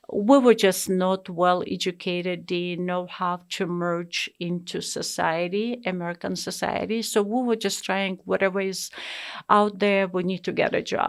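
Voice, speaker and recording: In a very clean recording with a silent background, a woman with a non-native accent speaks at a fairly slow pace, medium in pitch with fairly even intonation. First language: not English. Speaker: immigrant sharing life story. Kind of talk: interview. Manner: hesitant, many fillers.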